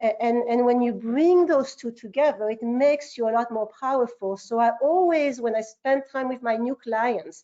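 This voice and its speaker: A woman speaks at a high pitch and moderate pace with a French accent. Her pitch varies in an ordinary way, with hardly any pauses. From France. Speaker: marketing agency founder. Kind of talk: interview. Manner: halting, many repetitions.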